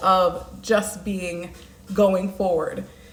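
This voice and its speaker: Noticeable background noise and audible room echo both surround the woman as she talks. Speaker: life coach. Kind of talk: live stream monologue.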